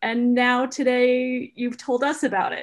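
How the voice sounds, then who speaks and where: A woman speaks. Her pitch is high. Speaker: board member asking questions. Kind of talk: Q&A moderating. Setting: video call.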